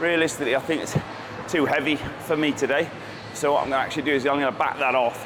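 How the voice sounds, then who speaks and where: In a British accent, a man with a fairly high pitch speaks fairly quickly over noticeable background noise. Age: 50s. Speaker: natural bodybuilder. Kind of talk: casual vlog talk to camera.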